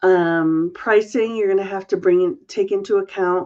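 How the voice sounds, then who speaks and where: A woman's plain, everyday voice at medium pitch, with ordinary pitch variation and a fairly slow pace, over a quiet background. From New England, Massachusetts. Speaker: crochet business coach and designer. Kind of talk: live stream Q&A. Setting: live video stream.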